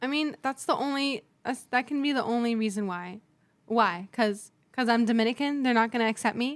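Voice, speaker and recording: A woman speaks loudly in a high voice at a fairly quick pace with ordinary pitch variation. The recording is very clean with a silent background. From San Diego, US. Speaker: podcast guest. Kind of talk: casual chat. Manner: talkative.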